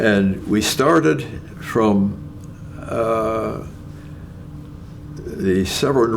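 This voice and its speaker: Against noticeable background noise and audible room echo, a man with a Canadian accent speaks at a fairly low pitch with ordinary pitch variation. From Ontario, Canada. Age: 90s. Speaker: retired nuclear scientist. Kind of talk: interview. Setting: at home. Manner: halting, with many fillers.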